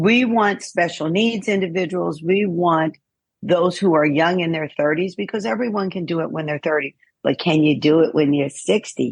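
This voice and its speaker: A woman with an unremarkable speaking voice talks at a moderate pace, fairly low in pitch, with ordinary pitch variation. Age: 60s. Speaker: fitness trainer and wellness coach. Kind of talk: podcast interview.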